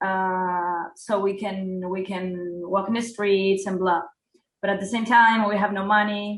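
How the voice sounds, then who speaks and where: With a Spanish accent, a woman speaks at a fairly slow pace in a monotone, flat intonation and a medium pitch, with music in the background. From Uruguay. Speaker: hip hop artist. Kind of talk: interview. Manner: halting.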